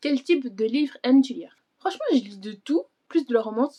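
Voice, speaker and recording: Her tone dark and mellow, a woman speaks with lively intonation in a dry, close sound with no echo. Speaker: book vlogger. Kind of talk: casual chat. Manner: fast; halting.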